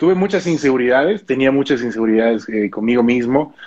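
A man's medium-pitched voice at a very fast pace. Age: 20s. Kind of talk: interview.

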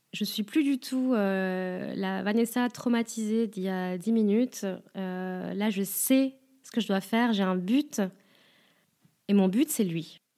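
A woman speaks very slowly, with long, frequent pauses and big swings in loudness. Her medium-pitched voice has a dark, mellow tone and ordinary pitch variation. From France. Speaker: podcaster and stripper. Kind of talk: first-person narration.

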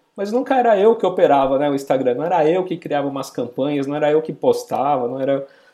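Very fast and with hardly any pauses, a man speaks at a fairly high pitch with lively intonation. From São Paulo, Brazil. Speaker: podcaster and marketing professional. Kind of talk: interview.

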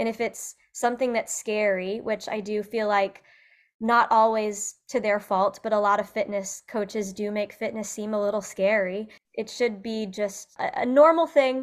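In an American accent, a woman with an ordinary speaking voice talks at a fairly high pitch and a moderate pace with fairly even intonation, on a very clean recording with a silent background. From US Midwest, central Illinois. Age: 30s. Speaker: fitness coach. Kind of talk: casual interview.

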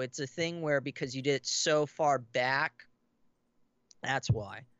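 A man's fairly high voice, showing ordinary pitch variation, proceeds at a moderate pace. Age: 30s. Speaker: horror author and film actor. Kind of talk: casual interview. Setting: studio, live stream, in person. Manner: halting.

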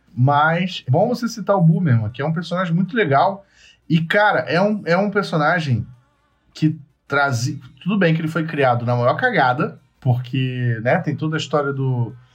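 With music in the background, a man speaks at a fairly high pitch and a moderate pace. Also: lively intonation. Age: 30s. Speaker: podcast host. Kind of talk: casual chat. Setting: remote call via chat.

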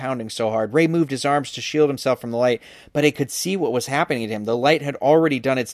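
The speaker does plain reading aloud, with ordinary pitch variation.

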